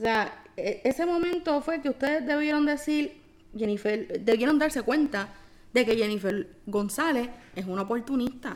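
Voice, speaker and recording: A woman talks at a moderate pace. Her high-pitched voice has lively intonation. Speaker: podcast co-host. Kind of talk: casual chat.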